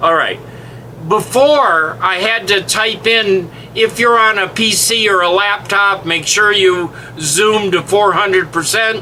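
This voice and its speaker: A man's raised, projected voice at high pitch, fairly slow, with ordinary pitch variation, very even loudness and noticeable background noise. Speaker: web platform trainer. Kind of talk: screen-share tutorial. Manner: casual, halting with fillers.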